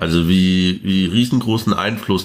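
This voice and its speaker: A man speaks with a very deep, low pitch and ordinary pitch variation. There is noticeable background noise. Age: 20s. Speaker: trade unionist and activist. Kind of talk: interview conversation.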